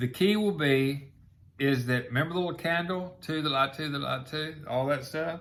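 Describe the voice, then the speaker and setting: A man speaks with a somewhat breathy voice. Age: 60s. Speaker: online show host. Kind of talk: casual monologue.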